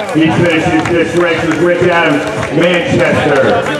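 Over clear background music, a man speaks at a fairly slow pace amid audible room echo. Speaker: race announcer. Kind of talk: finish line announcing. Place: open country.

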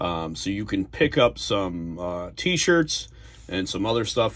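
A man with an American accent talks at a very slow pace against a quiet background. His pitch is fairly low, with very wide pitch swings. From New Jersey. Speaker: YouTuber reviewing trading cards. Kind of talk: casual video review. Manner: hesitant, many fillers. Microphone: phone near.

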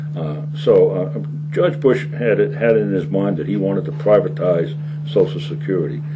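There is noticeable noise behind this man's voice. He talks at a moderate pace with ordinary pitch variation. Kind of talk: interview answer. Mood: earnest political argument. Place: studio.

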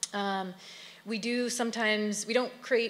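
In an ordinary speaking voice, a woman talks at a moderate pace with fairly even intonation. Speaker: arts organization representative. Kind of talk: introductory remarks. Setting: stage with audience. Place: hall. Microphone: podium.

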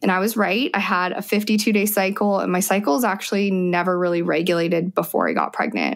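Speaking with an American accent, a woman with an ordinary speaking voice and medium pitch goes at a fairly quick pace with hardly any pauses and fairly even intonation. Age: 30s. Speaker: mother sharing birth stories. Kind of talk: interview testimony.

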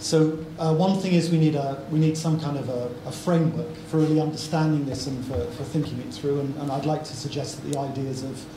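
A man talks at a fairly quick pace with few pauses and fairly even intonation. His pitch is fairly high, and clear background noise is present.

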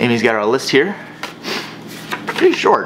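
Noticeable background noise accompanies a man's voice. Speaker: vlogger. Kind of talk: casual vlog chat. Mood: playful joking. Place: garage.

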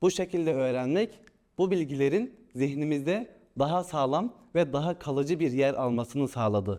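A man speaks at a moderate pace with a fairly high pitch, a dark, mellow tone and lively intonation. His loudness stays very even against a quiet background. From Turkey, Ankara. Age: 20s. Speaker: trainee imam. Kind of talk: interview testimonial. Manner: formal.

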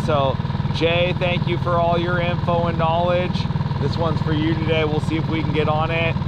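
Loud background noise fills the clip. A man speaks through it at a moderate pace. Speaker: fishing vlogger. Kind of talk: casual vlog chat. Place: boat. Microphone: phone near.

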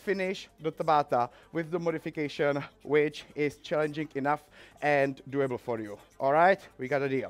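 A man speaking at a moderate pace with ordinary pitch variation. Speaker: fitness instructor. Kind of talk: tutorial. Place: gym.

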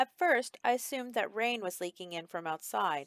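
Lively intonation shapes this natural reading voice.

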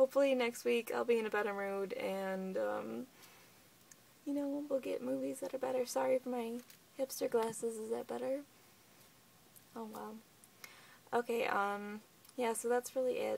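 A woman talks at a moderate pace, leaving long, frequent pauses. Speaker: vlogger. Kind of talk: casual vlog chat. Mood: low, somewhat subdued. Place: home room. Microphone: phone near.

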